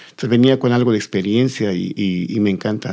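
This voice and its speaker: Here a man talks in a fairly low voice with ordinary pitch variation. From Bolivia, La Paz. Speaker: folk culture teacher. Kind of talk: interview. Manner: halting, repeating words.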